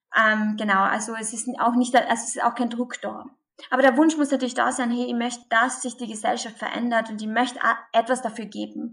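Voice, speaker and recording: In a Carinthian accent, a woman speaks at a fairly quick pace. Her pitch is high and her intonation fairly even. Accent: Carinthian Austrian dialect. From Austria, Carinthia. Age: 20s. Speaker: pro-life activist. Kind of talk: interview.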